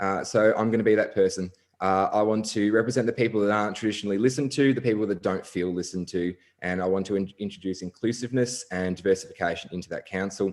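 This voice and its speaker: Speaking at a very fast pace, a man with an Australian accent keeps his fairly low voice in fairly even intonation. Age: 20s. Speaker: council election candidate. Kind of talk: candidate speech at online forum.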